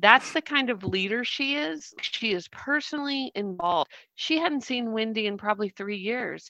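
A woman with an American accent speaks at a moderate pace with hardly any pauses, her pitch fairly high and her intonation lively. Her bright, sharp tone comes through in a dry, close sound with no echo. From US South. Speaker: coach and social worker. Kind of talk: casual book discussion. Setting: video call. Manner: animated.

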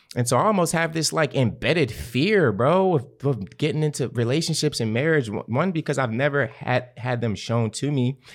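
Lively intonation and hardly any pauses mark this moderate-paced speech on a very clean recording with a silent background. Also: man, fairly high pitch for a man. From West Baltimore, US. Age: 20s. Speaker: guest. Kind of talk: casual podcast conversation.

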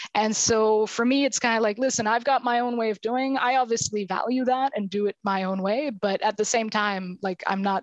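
A woman talks at a moderate pace with hardly any pauses, fairly even intonation and very even loudness, recorded with a dry, close sound and no echo against a quiet background. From rural Quebec, Canada. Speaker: sociology professor. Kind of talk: interview.

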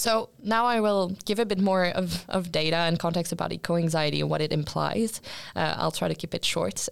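A woman with a French accent talks at a fairly quick pace. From France. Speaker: podcast host and student. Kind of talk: roundtable discussion.

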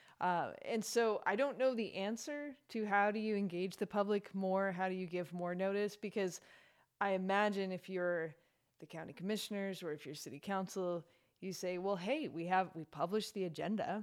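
This woman has an unremarkable speaking voice, pitched at a medium level. She talks at a moderate pace with ordinary pitch variation. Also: very clean recording, silent background. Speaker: author and victim's advocate. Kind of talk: casual chat.

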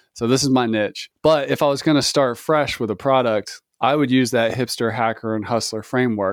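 Here a man talks in a normal speaking voice at a moderate pace, with fairly even intonation. The recording is very clean with a silent background, and the sound is dry and close with no echo. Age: 40s. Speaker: software company co-founder. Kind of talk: interview.

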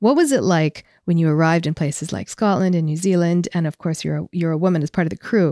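Very fast and upbeat, a woman speaks in a Canadian accent with a warm, dark, mellow tone, a fairly low pitch, and ordinary pitch variation. The recording is very clean, with a silent background and a dry, close sound with no echo. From England, raised in Canada from age 12. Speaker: podcast host and military officer. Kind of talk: interview. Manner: warm, upbeat.

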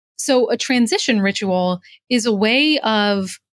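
An American accent comes through as a woman speaks in a normal speaking voice at a fairly high pitch with ordinary pitch variation. The recording is very clean and the background silent. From New Jersey, US. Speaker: executive coach and author. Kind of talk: interview.

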